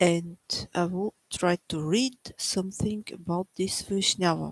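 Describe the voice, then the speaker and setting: Dry and close with no echo, a woman's voice sits fairly low in pitch. She speaks very slowly with fairly even intonation. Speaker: devotional teacher. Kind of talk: religious reading with commentary. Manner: soft-spoken; halting.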